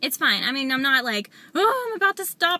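In a raised, projected voice, a woman talks at a fairly quick pace, and the sound is dry with no echo. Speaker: weight loss vlogger. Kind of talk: vlog update. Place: car. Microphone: phone near.

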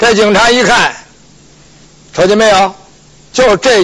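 A man is talking with noticeable background noise behind him. His pace is moderate. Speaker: pingshu storyteller. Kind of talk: pingshu storytelling performance of a legal case. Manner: lively, colloquial, humorous storytelling.

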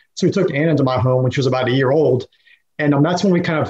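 A man speaks at a very fast pace, his voice somewhat breathy. His pitch varies in an ordinary way over a quiet background. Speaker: podcast guest. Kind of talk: interview answer. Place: home room. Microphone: webcam.

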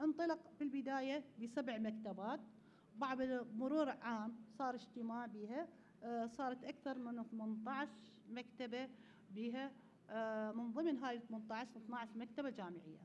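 In an Iraqi accent, a woman talks at a very slow pace and a high pitch. Her pitch variation is ordinary, over light background noise. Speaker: conference presenter. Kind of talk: conference talk. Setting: conference hall with audience. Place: hall. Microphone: podium.

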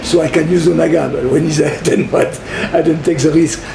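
A man speaks with a high voice. There is noticeable noise in the background. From France. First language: French. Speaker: chef. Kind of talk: cooking demonstration interview. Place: home room. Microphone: camera far.

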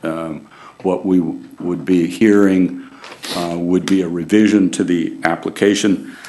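The speaker is a man with a very deep, low pitch. His intonation is monotone and flat. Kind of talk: formal meeting statement. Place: hall. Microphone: podium.

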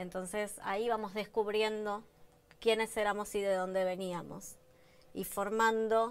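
The woman moves through her words at a very slow pace. Her intonation is kept fairly even. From Argentina, La Plata; Argentina. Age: 30s. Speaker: daughter of a disappeared person; interviewee. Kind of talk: interview testimony. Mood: reflective, emotional. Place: studio. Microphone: lapel.

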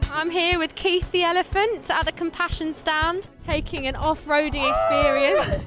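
Against clear background music in a dry sound with no echo, a woman with an extremely high pitch speaks in a relaxed tone, with very even loudness and hardly any pauses. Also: moderate pace. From England. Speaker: TV presenter. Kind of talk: live event hosting. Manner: lively, relaxed, personable. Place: hall. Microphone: handheld.

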